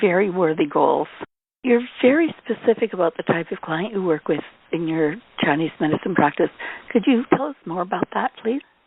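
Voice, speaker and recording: This woman has a plain, everyday voice with a Canadian accent, medium pitch and lively intonation, and she talks at a moderate pace. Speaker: declutter coach and interviewer. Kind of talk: interview.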